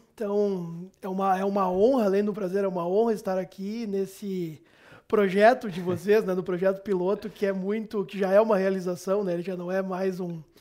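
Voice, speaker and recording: This man's voice sits high in pitch and stays monotone and flat. He keeps to a moderate pace. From southern Brazil, Caxias do Sul (Rio Grande do Sul). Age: 40s. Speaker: financial controller. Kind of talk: interview. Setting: studio with chroma key. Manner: hesitant with repetitions.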